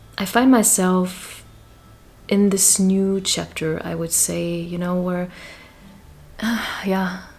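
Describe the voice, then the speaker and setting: A woman speaks at a very slow pace in a medium pitch, with fairly even intonation and long, frequent pauses. Audible room echo surrounds her voice. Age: 40s. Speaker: vlogger. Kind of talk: personal vlog monologue. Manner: hesitant, many fillers.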